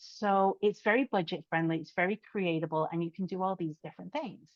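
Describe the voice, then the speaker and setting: Her pace is fairly quick. The woman talks with a British accent. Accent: British accent, still noticeable. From UK. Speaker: podcast host, social media strategist. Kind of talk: interview podcast conversation.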